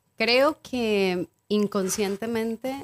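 The woman's voice has ordinary pitch variation and a dry, close sound with no echo. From Mexico, Acapulco. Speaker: cacao ceremony guide, businesswoman. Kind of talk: casual chat.

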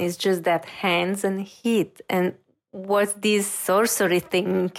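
Speaking with a Romanian accent, a woman uses a medium pitch and a fairly slow pace, her intonation monotone and flat. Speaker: reiki practitioner and intuitive. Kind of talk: interview. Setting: video call.

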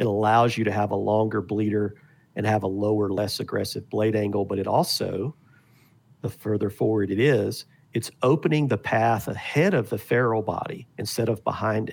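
Here a man has an unremarkable speaking voice, fairly low in pitch, with fairly even intonation. He keeps a moderate pace on a very clean recording with a silent background. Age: 50s. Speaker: arrow and broadhead maker. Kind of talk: casual chat.

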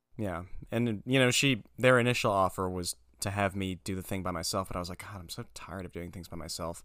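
A man talks very fast in a very deep, low voice, his loudness swinging widely. The recording is very clean, with a silent background. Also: ordinary pitch variation. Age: 20s. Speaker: animator. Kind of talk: casual chat.

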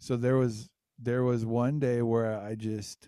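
A man speaks fairly slowly in a dark, mellow tone. His intonation stays monotone and flat. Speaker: podcast co-host, musician. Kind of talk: casual chat.

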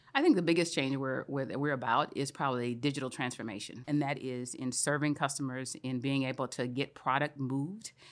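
A woman speaks at a very deep, low pitch with fairly even intonation. The recording is very clean, with a silent background. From Louisiana. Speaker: supply chain executive. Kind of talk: interview.

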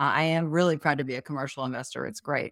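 A woman's very deep, low voice at a fairly quick pace, with fairly even intonation, a dry, close sound with no echo, and a very clean recording over a silent background. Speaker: property manager and real estate investor. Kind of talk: casual interview. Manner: talkative.

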